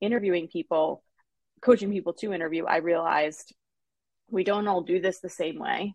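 A woman's ordinary speaking voice, fairly low in pitch, at a fairly quick pace with ordinary pitch variation and a dry, close sound with no echo. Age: 40s. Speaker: interview coach and HR expert. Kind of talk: interview.

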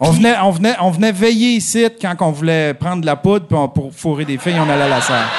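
With noticeable background noise behind him, a man speaks at a high pitch and a fairly quick pace, his intonation lively and his speech broken by hardly any pauses. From Abitibi-Témiscamingue, Quebec. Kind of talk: casual chat. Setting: stage with live audience.

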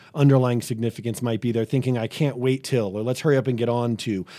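A man's normal speaking voice at a medium pitch, with an American accent and fairly even intonation. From New England (Boston area). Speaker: pastor. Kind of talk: interview conversation.

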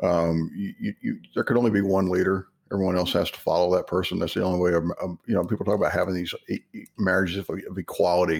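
A man with an American accent talks at a very fast pace with a very deep, low pitch. The recording is very clean, with a silent background. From Texas. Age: 50s. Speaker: author. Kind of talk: casual interview chat.

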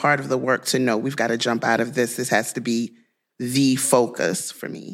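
This is a woman speaking. She has a Louisiana accent. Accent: Southern US (Louisiana). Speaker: podcast host. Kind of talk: interview.

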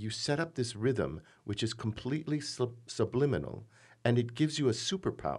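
A man with an American accent speaks at a medium pitch with lively intonation. Vocal fry runs through his voice. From US Midwest, Michigan. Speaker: theater director. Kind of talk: casual interview.

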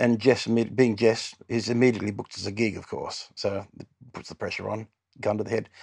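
A man talks at a fairly quick pace in a medium pitch, his intonation monotone and flat while his loudness swings widely. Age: 60s. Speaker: musician in a cover band. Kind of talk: casual chat. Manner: halting.

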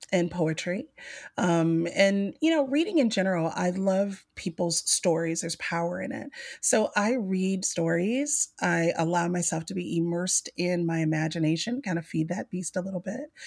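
A woman's fairly low voice with an American accent, at a moderate pace and with ordinary pitch variation. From US South, Mobile, Alabama. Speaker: business consultant and coach. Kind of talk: casual interview.

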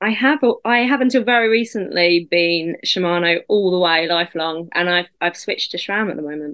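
A woman speaks in an ordinary speaking voice. Her pitch is fairly low and her pace moderate. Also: ordinary pitch variation. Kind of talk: casual chat.

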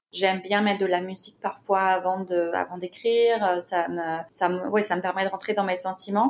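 Her voice is a plain, everyday voice with medium pitch. The woman keeps a moderate pace and fairly even intonation. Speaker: content writer and author. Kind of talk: casual interview conversation.

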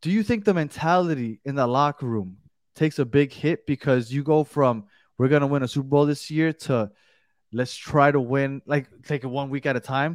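In a plain, everyday voice, a man with a fairly high pitch and ordinary pitch variation speaks at a moderate pace, the sound dry and close with no echo against a quiet background. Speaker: podcast host. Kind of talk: casual sports chat.

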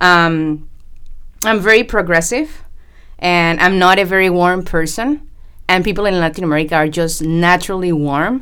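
Speaking at a moderate pace with a Spanish accent, a woman uses a fairly low pitch and ordinary pitch variation. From Panama. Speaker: engineer and project manager. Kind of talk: podcast interview.

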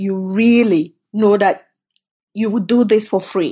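A woman's dark, mellow voice at a medium pitch, at a very slow pace, over a quiet background. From Cameroon. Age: 50s. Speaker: food company founder. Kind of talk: interview.

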